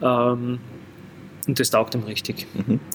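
With monotone, flat intonation and a medium pitch, a man talks at a moderate pace while noticeable background noise plays behind him. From Graz, Austria. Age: 40s. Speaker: football club vice-chairman. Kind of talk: casual interview. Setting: in a pub room.

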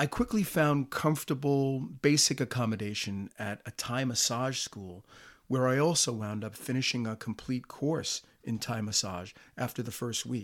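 A man with an American accent has an unremarkable speaking voice at a medium pitch, with ordinary pitch variation, at a fairly slow pace. The recording is very clean, with a silent background. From US Northeast. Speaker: podcast host and traveler. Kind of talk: scripted narration, storytelling about travel.

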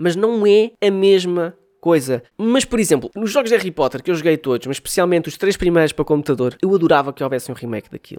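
At a very fast pace, a man speaks with a high pitch and lively intonation, the sound dry and close with no echo. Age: 20s. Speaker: podcast host and music artist. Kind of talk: casual monologue. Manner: animated.

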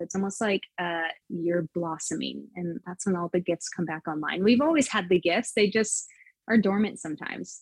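The sound is dry and close with no echo, as a woman speaks at a moderate pace. She has an unremarkable speaking voice at medium pitch, with ordinary pitch variation. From California. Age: 30s. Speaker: intuitive channel and business coach. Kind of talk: casual interview conversation.

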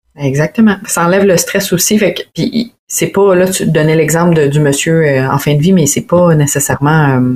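A woman speaks at a moderate pace in a Quebec accent, her pitch fairly low. Her loudness stays very even, with ordinary pitch variation. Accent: Québécois French. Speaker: wedding photographer and videographer. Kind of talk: casual chat.

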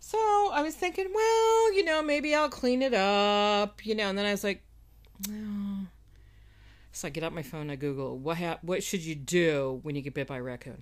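A woman speaks at a medium pitch. Her pitch swings very widely. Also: moderate pace. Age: 60s. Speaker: podcast co-host. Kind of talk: casual chat.

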